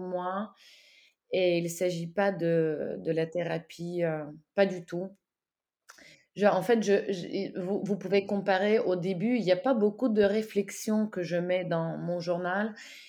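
A woman with a Russian accent speaks very slowly in a dark, mellow tone at a medium pitch, with fairly even intonation. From Ukraine. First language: Russian (speaking French). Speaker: co-author of a war diary. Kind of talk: interview. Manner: halting.

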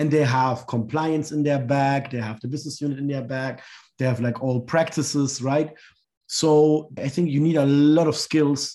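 Against a quiet background, a man with a fairly high pitch and a dark, mellow tone speaks at a moderate pace in monotone, flat intonation. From third culture kid, Sri Lanka and Germany. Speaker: social entrepreneur and lecturer. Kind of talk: interview. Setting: remote call.

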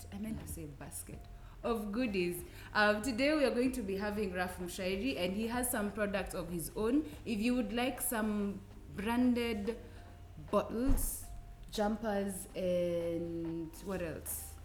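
A woman speaks very slowly at a medium pitch with ordinary pitch variation, and the room echo is audible. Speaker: podcast host. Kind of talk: casual interview.

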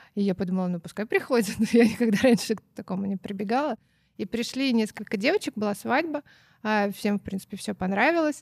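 A woman talks at a very fast pace in a somewhat breathy voice with ordinary pitch variation. The sound is dry and close with no echo. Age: 30s. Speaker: co-founder of a children's clothing brand, former florist. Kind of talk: casual interview.

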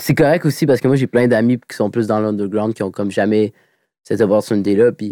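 On a very clean recording with a silent background and a dry, close sound with no echo, a man speaks at a fairly quick pace in a fairly low, dark, mellow voice with ordinary pitch variation. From Quebec City. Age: 20s. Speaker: rapper. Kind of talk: casual chat.

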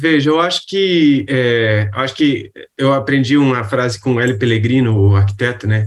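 Speaking at a moderate pace, a man has a medium pitch. His loudness stays very even, with ordinary pitch variation. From Rio de Janeiro, Brazil. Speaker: architect and urban planner. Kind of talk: casual interview. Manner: halting, many fillers.

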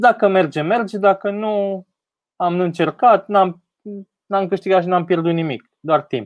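At a fairly slow pace, a man speaks with high pitch and ordinary pitch variation. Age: 30s. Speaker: tech entrepreneur. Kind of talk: interview on a live stream.

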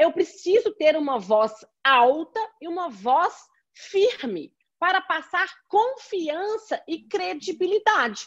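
A woman talks very slowly at an extremely high pitch, her voice swinging very widely up and down. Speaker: law professor and lawyer. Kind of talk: interview.

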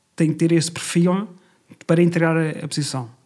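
The tone is dark and mellow. It belongs to a man. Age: 40s. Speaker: finance director. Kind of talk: casual interview.

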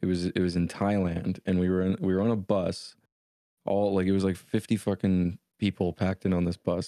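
A man speaks at a fairly quick pace with a Canadian accent, his very deep, low pitch and dark, mellow tone carried in a monotone, flat delivery, recorded very cleanly against a silent background with a dry, close sound and no echo. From Canada. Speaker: podcast co-host.

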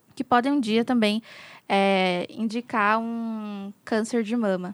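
A woman's plain, everyday voice, fairly high in pitch and fairly slow, with fairly even intonation and a dry, close sound free of echo. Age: 20s. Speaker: midwife. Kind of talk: casual chat.

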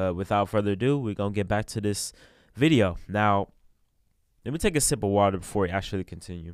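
Over a silent background in a very clean recording, a man with a normal speaking voice talks at a fairly quick pace in a fairly low pitch. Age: 20s. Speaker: podcast host, gym worker. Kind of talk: casual solo podcast monologue. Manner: casual, slang-heavy.

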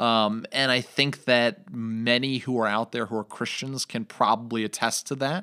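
This man's voice sits at a medium pitch, with a bright, sharp tone and fairly even intonation at a moderate pace with hardly any pauses. The recording is very clean with a silent background and a dry, close sound with no echo. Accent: American. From New York. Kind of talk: casual religious discussion.

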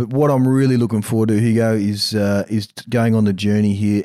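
A man talks very fast in an Australian accent, at a medium pitch with fairly even intonation and a dark, mellow tone. The recording is very clean, with a silent background. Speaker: mental performance coach and co-host. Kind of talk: casual chat. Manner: halting, many fillers.

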